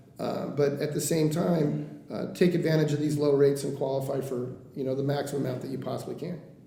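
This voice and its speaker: A man with a fairly high voice speaks at a fairly quick pace with fairly even intonation. Room echo and noticeable background noise can be heard. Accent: American. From Oregon coast (Coos Bay). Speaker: mortgage lender. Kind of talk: podcast interview. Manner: fast; casual, frank.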